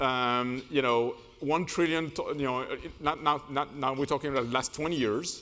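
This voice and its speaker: This man's voice has a bright, sharp tone and a fairly high pitch, moving at a moderate pace with fairly even intonation. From France. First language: French. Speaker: management consultant. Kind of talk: keynote speech. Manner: hesitant, many fillers.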